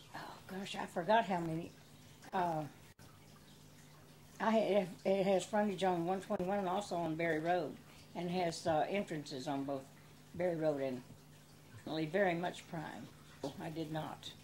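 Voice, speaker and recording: A woman speaks in a Texan accent at a moderate pace, pausing long and often. Her pitch is fairly low, with ordinary variation. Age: 80s+. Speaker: small business owner. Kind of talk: interview answer.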